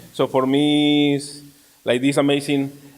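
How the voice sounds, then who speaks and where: A man talks with a Mexican accent. His pitch sits fairly high. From Mexico. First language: Spanish. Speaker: community ministry team member. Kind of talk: panel talk. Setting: church event with audience. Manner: halting.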